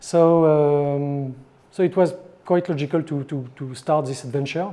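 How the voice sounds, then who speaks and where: A man with a French accent speaks at a fairly slow pace in a fairly high pitch, his tone dark and mellow and his intonation fairly even. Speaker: board game designer. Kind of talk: interview answer.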